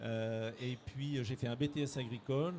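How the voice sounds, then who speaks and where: This is a man speaking. His pitch is medium, with ordinary pitch variation. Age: 60s. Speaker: director of a training organisation. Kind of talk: interview. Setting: careers fair. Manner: halting, many hesitations.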